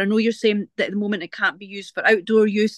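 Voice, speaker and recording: The voice carries a Scottish accent. The sound is dry and close with no echo, over a quiet background. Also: woman. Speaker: guide dog user, audience member. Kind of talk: audience question. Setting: video call webinar.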